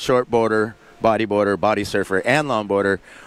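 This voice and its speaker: At a fairly quick pace, a man with a medium pitch talks in a Southern Californian accent, in a dry, close sound with no echo. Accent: Southern Californian American. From Southern California, San Diego area. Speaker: surf contest commentator. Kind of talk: live commentary. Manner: casual, filler-heavy.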